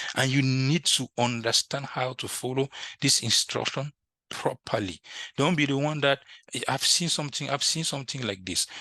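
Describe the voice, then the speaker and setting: Against a quiet background, a man with a French accent speaks at a moderate pace in a bright, sharp tone, captured with a dry, close sound and no echo. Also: medium pitch for a man, ordinary pitch variation. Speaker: IT instructor. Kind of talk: tutorial. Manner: halting.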